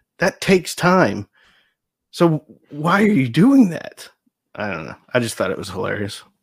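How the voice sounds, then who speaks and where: With vocal fry and an American accent, the speaker moves through very wide pitch swings and big swings in loudness at a moderate pace. Long, frequent pauses break up the speech. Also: man, fairly high pitch for a man. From Nebraska, US. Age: 40s. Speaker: audio equipment YouTuber. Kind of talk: casual chat.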